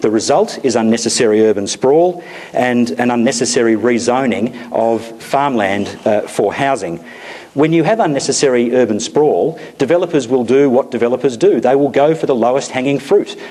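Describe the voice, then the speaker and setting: A man speaks at a very even loudness with noticeable background noise. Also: medium pitch for a man, ordinary pitch variation, moderate pace. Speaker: politician. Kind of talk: public meeting speech.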